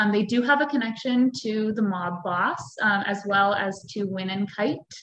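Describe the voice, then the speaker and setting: A woman's fairly high-pitched, unremarkable speaking voice with an American accent, fairly even intonation and a fairly slow pace. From US, Pennsylvania. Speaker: actress. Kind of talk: interview. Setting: video call.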